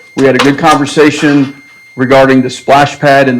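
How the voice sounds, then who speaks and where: A man with an American accent talks at a moderate pace in a fairly high voice. His intonation stays fairly even, and there is noticeable background noise. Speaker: land acquisition manager for developer. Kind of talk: presentation to city council. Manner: loud.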